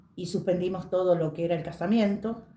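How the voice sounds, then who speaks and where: Noticeable background noise is present. Over it, a woman talks at a medium pitch. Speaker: witness sharing memories. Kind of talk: testimony.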